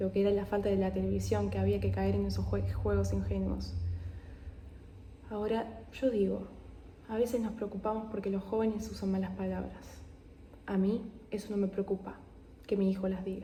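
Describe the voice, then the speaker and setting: A soft-spoken woman with long, frequent pauses, amid audible room echo. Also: moderate pace. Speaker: ASMR creator. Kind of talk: reading aloud.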